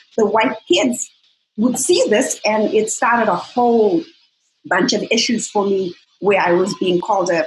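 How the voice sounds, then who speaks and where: Speaking at a moderate pace, a woman uses a medium pitch with ordinary pitch variation and a somewhat breathy quality. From Zimbabwe. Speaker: fitness coach and bikini competitor. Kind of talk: interview conversation.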